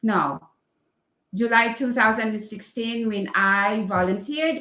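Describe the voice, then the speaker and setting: A woman's fairly high-pitched voice, bright and sharp in tone, at a very slow pace. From Philippines. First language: Filipino language. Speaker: English teacher. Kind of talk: casual live stream chat. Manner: halting, many fillers.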